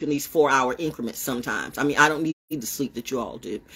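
An animated tone drives speech at a very fast pace. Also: woman. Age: 60s. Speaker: online broadcaster. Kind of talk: casual monologue livestream. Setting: outdoors. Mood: confrontational, defiant. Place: home room. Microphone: phone near.

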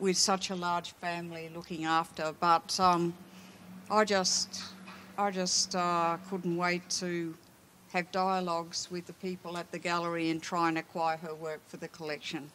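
At a fairly slow pace, a woman speaks in a fairly low, bright, sharp voice with monotone, flat intonation over light background noise. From Australia, Melbourne. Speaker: art historian and curator; panelist. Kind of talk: panel discussion. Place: stage. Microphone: handheld.

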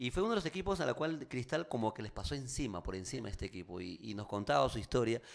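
Very fast delivery with hardly any pauses and very wide pitch swings, over a quiet background. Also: man. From Peru. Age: 40s. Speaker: radio host and actor; radio host, actor. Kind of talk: casual interview. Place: studio. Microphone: studio mic.

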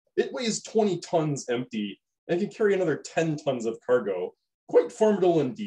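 A man's theatrical voice at a moderate pace over a quiet background. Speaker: science educator. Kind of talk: scripted educational video narration. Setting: online video. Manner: theatrical, hyped-up showman delivery in the match intro; casual, with filler 'uh's and a light, jokey tone. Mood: light, playful explanatory tone.

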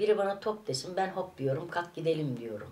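The speaker is a woman. Light background noise can be heard. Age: 60s. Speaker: vlogger. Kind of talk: casual vlog monologue; casual vlog chat. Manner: animated; halting. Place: home room. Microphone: camera far.

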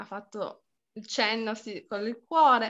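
Over a quiet background, a woman speaks in a high voice with ordinary pitch variation. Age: 40s. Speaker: pedagogist and permaculture teacher; permaculture teacher. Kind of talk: online lecture; lecture. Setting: video call. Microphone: video call.

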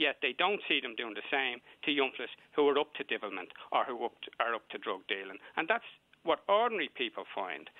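A man speaks with a Dublin accent at a medium pitch. His pace is fairly quick, and his pitch swings very widely. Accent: Dublin Irish. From Dublin north inner city. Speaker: community activist caller. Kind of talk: heated debate.

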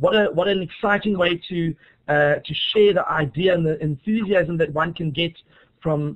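With a South African accent, a man speaks at a high pitch and a moderate pace. His intonation is fairly even, and the background is quiet. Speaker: teacher. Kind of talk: webinar presentation. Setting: online webinar. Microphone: video call.

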